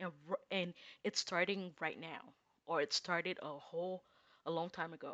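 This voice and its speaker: This woman speaks at a fairly slow pace in a bright, sharp tone, with a non-native accent and medium pitch. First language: not English. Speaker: tarot reader. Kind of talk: casual tarot reading. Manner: hesitant, many fillers.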